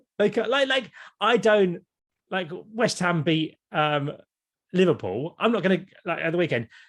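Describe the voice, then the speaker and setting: A man with an English accent speaks at a moderate pace in a high voice, animated and with lively intonation. He takes long, frequent pauses against a quiet background. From Kent, England. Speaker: YouTuber and former TV presenter. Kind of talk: podcast interview.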